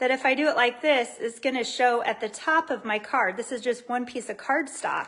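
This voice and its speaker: A woman speaks at a fairly slow pace. Her high voice is raised and projected. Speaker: lifestyle video host. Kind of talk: tutorial. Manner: animated.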